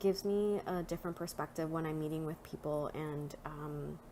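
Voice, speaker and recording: At a fairly slow pace, a woman with a Spanish accent speaks at a fairly low pitch. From Nicaragua. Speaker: social work student and counselor. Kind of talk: presentation.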